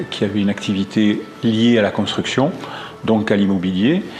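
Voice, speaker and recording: Noticeable background noise surrounds a man speaking at a moderate pace. His pitch is fairly low and his intonation fairly even. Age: 60s. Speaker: real estate agent, former construction consultant. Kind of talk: testimonial interview. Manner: hesitant, many fillers and repetitions.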